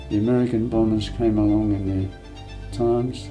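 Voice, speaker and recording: A man talks with ordinary pitch variation over background music. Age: 80s+. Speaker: war veteran. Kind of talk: interview answer.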